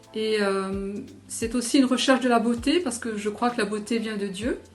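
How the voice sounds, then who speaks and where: Amid noticeable background noise, the speaker talks at a fairly slow pace with ordinary pitch variation. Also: woman. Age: 60s. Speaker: amateur painter, church member. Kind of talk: interview testimony. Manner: halting, many hesitations.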